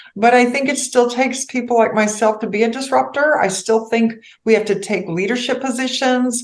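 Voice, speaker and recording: Noticeable background noise behind a woman with fairly high pitch, fairly even intonation, and a fairly quick pace. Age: 60s. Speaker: financial advisor. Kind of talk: podcast interview.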